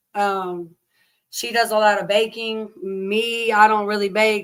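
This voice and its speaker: The speaker has an American accent and monotone, flat intonation. The recording is very clean, with a silent background. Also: woman. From Oklahoma. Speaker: live streamer. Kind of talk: casual chat. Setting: livestream. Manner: casual, chatty.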